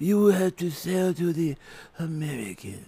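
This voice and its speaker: A man puts on a high-pitched character voice and talks at a moderate pace. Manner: gruff, authoritative.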